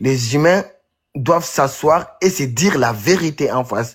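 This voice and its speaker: Somewhat breathy and animated in tone, a man speaks at a fairly high pitch with ordinary variation in a very clean recording with a silent background. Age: 20s. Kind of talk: heated debate. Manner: halting.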